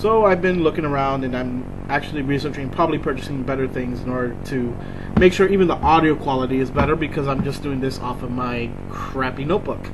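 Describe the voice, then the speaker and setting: A man's fairly high voice at a very fast pace with ordinary pitch variation, amid noticeable background noise and audible room echo. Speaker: vlogger. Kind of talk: casual vlog monologue. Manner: rambling, many fillers. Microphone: laptop mic, poor audio.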